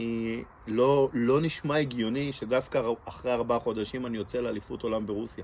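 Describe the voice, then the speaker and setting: This speaker has an unremarkable speaking voice, a moderate pace and fairly even intonation. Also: man. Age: 40s. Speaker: blind balloon artist. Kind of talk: personal testimony interview.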